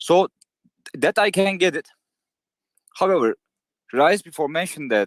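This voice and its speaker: A man with a non-native accent and high pitch, lively intonation at a moderate pace broken by long, frequent pauses, in a dry, close sound with no echo. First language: not English. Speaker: community member asking a question. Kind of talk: question in live Q&A. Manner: halting.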